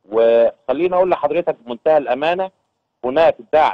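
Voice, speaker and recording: Moderate pace from a man. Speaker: agricultural union head. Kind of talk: TV news interview.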